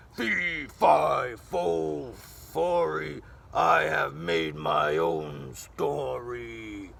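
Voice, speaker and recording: In a put-on character voice, a man sounds raspy and very deep and low in pitch, with lively intonation at a very slow pace and an audible echo. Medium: read story. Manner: booming and gloating.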